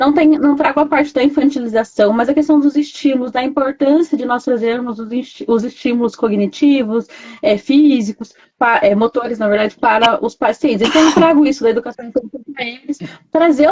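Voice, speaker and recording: The delivery moves at a fairly quick pace. Pitch varies in an ordinary way. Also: woman, high pitch for a woman. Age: 30s. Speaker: nursing technician and gerontology caregiver. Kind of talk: live stream chat. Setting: online live stream.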